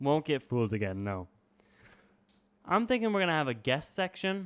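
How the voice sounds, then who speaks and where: A man speaks at a fairly high pitch. His pitch swings very widely. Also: moderate pace. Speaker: college radio podcast co-host. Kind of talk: casual comedic chat. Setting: college radio studio.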